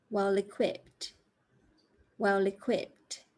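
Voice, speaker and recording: Against a quiet background, a woman speaks. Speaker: English teacher. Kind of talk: language lesson to camera. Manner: clear, careful enunciation.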